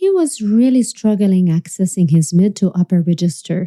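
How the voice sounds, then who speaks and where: A woman talks at a moderate pace with a dark, mellow tone that is somewhat breathy and lively intonation. The sound is dry and close, with no echo. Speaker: singing teacher. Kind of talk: online masterclass presentation.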